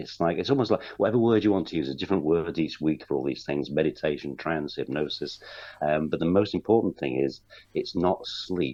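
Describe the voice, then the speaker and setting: Vocal fry runs through speech delivered at a fairly quick pace with ordinary pitch variation. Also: man. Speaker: hypnotherapist. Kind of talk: radio interview. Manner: relaxed.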